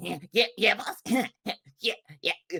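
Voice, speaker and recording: The voice is a raspy, put-on character voice with a fairly high pitch. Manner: gruff, eager to please.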